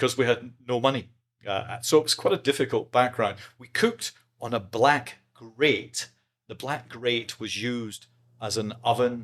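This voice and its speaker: Speaking at a moderate pace with an Edinburgh accent, a man is heard on a very clean recording with a silent background. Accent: Scottish (Edinburgh). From Scotland, Edinburgh (Leith). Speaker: podcast guest. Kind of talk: casual interview chat.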